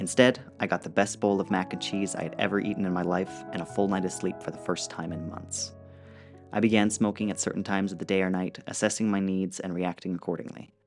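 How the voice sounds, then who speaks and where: Over music in the background, a man with a very deep, low pitch talks at a very fast pace. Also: ordinary pitch variation. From Alberta, Canada. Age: young. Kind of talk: personal digital story narration.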